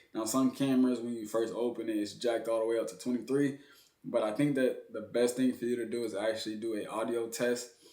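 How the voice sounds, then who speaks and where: A man speaks at a fairly quick pace in a medium pitch, with audible room echo. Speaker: videographer and content creator. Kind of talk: tutorial. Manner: loud; animated.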